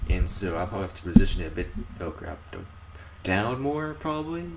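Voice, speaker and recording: A man talks while noticeable background noise and audible room echo fill the recording. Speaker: YouTuber. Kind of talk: unboxing video. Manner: casual, halting.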